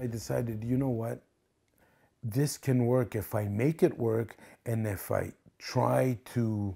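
Somewhat breathy, a man speaks at a fairly slow pace with a dark, mellow tone. The background is quiet. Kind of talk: interview answer. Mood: reflective, earnest.

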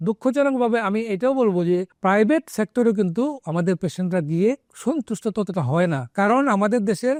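Against a quiet background with dry, close sound and no echo, a man talks at a high pitch with lively intonation and very even loudness. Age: 60s. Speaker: retired army doctor and oncologist. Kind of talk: talk to camera. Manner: halting.

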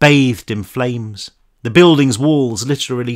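Someone reads aloud in a natural voice. Behind it, the background is quiet.

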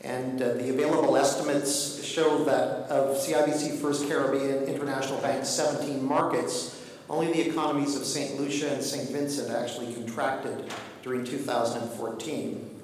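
Through strong room echo and light background noise, a man speaks at a moderate pace with fairly even intonation. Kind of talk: formal conference speech. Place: hall. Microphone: podium.

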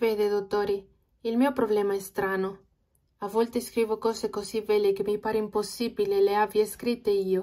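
A woman speaks with a Spanish accent and a dark, mellow tone. Her intonation is monotone and flat. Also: medium pitch for a woman, moderate pace. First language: Spanish (speaking Italian). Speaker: language learner vlogger. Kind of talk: reading aloud.

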